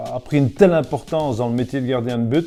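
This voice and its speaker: A man speaking at a medium pitch uses ordinary pitch variation while music plays in the background. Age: 60s. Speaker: former football goalkeeper and pundit.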